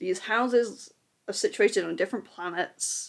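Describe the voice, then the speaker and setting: On a very clean recording with a silent background, a woman mumbles. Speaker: book vlogger. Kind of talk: casual talk to camera. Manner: mumbling.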